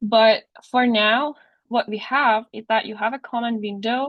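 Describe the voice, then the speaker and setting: A woman speaks in a Persian accent at a fairly slow pace. Her pitch is fairly high, with fairly even intonation. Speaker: teaching assistant. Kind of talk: tutorial. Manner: halting.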